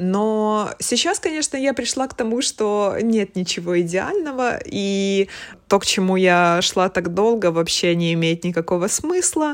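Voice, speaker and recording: A woman with an unremarkable speaking voice at medium pitch talks fairly slowly with lively intonation, recorded very cleanly against a silent background. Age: 30s. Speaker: art director. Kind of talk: casual chat.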